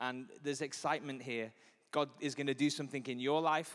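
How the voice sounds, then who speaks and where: A man's fairly high, animated voice in a Liverpool accent, at a fairly quick pace. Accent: Scouse (Liverpool). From Liverpool, England. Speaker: pastor. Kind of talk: sermon. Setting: church stage with audience.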